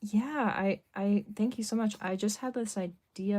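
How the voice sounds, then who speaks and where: Her intonation stays fairly even as this woman speaks at a fairly slow pace. Her tone is dark and mellow. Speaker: artist. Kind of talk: live stream chat while drawing. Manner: casual, many fillers (um, like).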